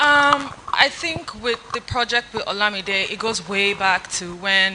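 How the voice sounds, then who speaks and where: Over noticeable background noise, a woman speaks fairly slowly at a medium pitch. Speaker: fashion stylist and content creator. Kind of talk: panel discussion. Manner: halting.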